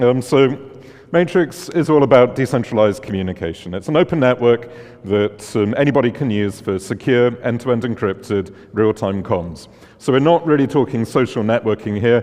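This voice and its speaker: A man with a strong British accent, medium pitch and moderate pace, against noticeable background noise. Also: lively intonation. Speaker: conference speaker, tech founder. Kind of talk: conference talk.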